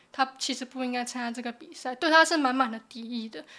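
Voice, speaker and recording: Speaking at a moderate pace, a woman uses a high pitch. The recording is very clean, the background silent. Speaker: journalism student. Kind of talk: casual interview.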